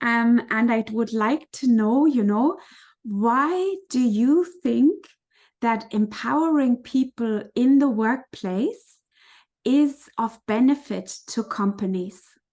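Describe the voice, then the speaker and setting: Speaking very slowly with lively intonation, a woman with a fairly high voice has a non-native accent. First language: not English. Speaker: parent educator and interviewer. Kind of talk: interview.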